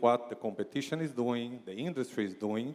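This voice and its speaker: With a Brazilian accent, a man speaks at a moderate pace. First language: Portuguese. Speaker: marketing executive. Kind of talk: keynote speech. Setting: stage with audience. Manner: repetitive, hesitant phrasing.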